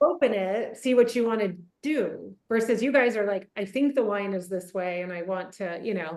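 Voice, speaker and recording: Her pace is moderate and her pitch medium. A woman talks in a normal speaking voice with ordinary pitch variation. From US South, Atlanta, Georgia. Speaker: winemaker. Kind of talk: casual chat. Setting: video call.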